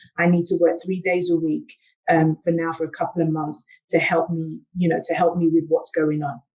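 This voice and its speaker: In a South London accent, a woman speaks at a moderate pace with fairly low pitch and monotone, flat intonation. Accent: British, South London. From England, South London. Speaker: engineer and transformation coach. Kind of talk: panel discussion.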